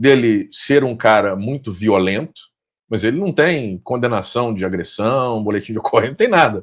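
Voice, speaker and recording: Over a silent background in a very clean recording, a man speaks at a moderate pace with big swings in loudness. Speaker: podcast host. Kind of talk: interview.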